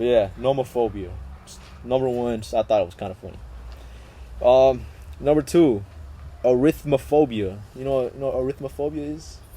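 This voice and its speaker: With lively intonation and big swings in loudness, a man speaks at medium pitch and a moderate pace, leaving long, frequent pauses. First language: Spanish. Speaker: podcast host. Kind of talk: casual chat. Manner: animated.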